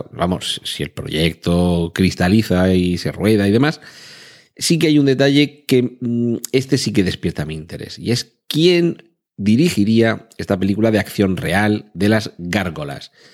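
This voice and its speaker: On a very clean recording with a silent background, a man with a fairly low pitch talks at a fairly slow pace, his pitch swinging very widely. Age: 40s. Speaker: podcast host. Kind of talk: solo podcast monologue.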